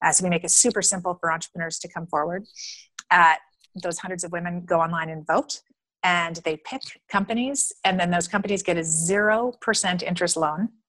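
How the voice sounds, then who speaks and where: With a plain, everyday voice, a woman speaks fairly quickly at a fairly low pitch with ordinary pitch variation, in a dry, close sound with no echo. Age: 50s. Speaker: entrepreneur, founder of a women's funding network. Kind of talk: interview.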